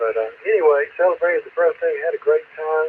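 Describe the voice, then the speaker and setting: Over noticeable background noise, the speaker talks at a moderate pace with a South Carolina accent. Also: man. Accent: Southern US (South Carolina). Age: 70s. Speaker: amateur radio net control operator. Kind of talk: radio net check-in and chat. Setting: two-way radio repeater. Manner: halting, many fillers.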